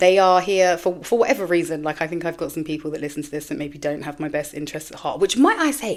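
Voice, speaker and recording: Loud and very fast, a woman speaks at a fairly low pitch. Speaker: podcast host. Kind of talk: casual monologue.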